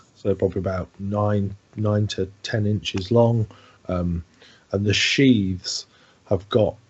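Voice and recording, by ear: The voice reads aloud in a natural way with fairly even intonation.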